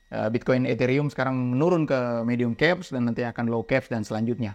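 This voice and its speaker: A man at a very fast pace and medium pitch, over a quiet background. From Indonesia, outside Jakarta. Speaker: crypto trading educator. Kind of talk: casual educational chat. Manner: clear, emphatic speech.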